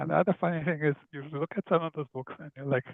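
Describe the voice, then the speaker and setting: With an Indian accent, a man speaks at a fairly high pitch. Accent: Indian English (Indo-British). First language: Hindi. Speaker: children's author and illustrator. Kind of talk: casual interview conversation.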